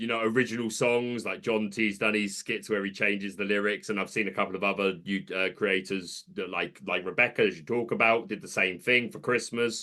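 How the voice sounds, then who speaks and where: This man has a bright, sharp tone and a British accent, talking at a fairly quick pace. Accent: British accent noticeable. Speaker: content creator. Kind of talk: casual chat.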